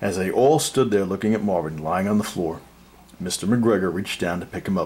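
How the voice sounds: Lively intonation in a natural reading voice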